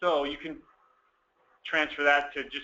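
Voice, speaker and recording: Fairly even in intonation, a man speaks at a moderate speed. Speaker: software trainer. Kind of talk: tutorial.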